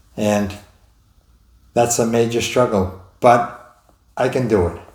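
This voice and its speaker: A man's medium-pitched, somewhat breathy voice with an American accent, fairly even intonation and a very slow pace, plus audible room echo. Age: 70s. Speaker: stroke survivor vlogger. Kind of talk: personal testimony. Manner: halting.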